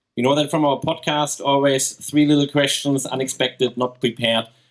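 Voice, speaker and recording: A man with a German accent speaks in a fairly high voice at a moderate pace. His intonation is flat and monotone, and his loudness stays very even. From Germany. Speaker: podcast co-host. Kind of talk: live interview. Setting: stage with audience.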